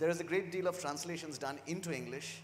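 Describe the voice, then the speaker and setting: Speaking at a fairly quick pace, a man talks in a fairly high pitch. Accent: Bengali. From India, Kolkata (West Bengal). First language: Bengali. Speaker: university press publisher. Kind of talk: panel discussion. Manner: halting, many fillers.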